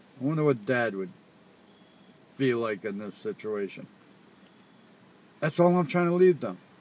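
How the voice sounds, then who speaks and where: At a moderate pace, a man with a medium-pitched voice swings his pitch very widely and leaves long, frequent pauses. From Rhode Island. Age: old. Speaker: father. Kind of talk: casual chat.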